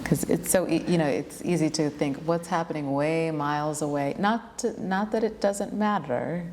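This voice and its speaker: Against noticeable background noise, a woman with a fairly low pitch speaks at a moderate pace with ordinary pitch variation and hardly any pauses. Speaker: yoga teacher and interviewer. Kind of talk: casual interview conversation. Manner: fluent, flowing.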